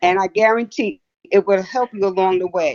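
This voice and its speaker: At a moderate pace, a woman talks in a plain, everyday voice with ordinary pitch variation. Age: 60s. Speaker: former radio host. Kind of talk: casual chat.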